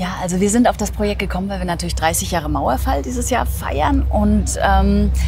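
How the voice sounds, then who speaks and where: With a very deep, low pitch and monotone, flat intonation, a woman talks at a fairly quick pace with hardly any pauses. The sound is dry with no echo, over light background noise. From East Germany. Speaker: editor. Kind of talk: interview answer. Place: street.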